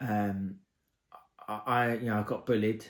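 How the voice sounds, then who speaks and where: With an English accent, a man speaks at a fairly slow pace in a fairly low pitch and fairly even intonation. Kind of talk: casual talk to camera. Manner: hesitant, stuttering.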